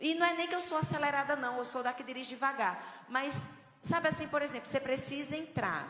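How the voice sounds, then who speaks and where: A woman's high-pitched, animated voice in a northeastern Brazilian accent, fairly quick with ordinary pitch variation, over noticeable background noise and audible room echo. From Brazilian Northeast, João Pessoa. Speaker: preacher at women's conference. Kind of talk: sermon.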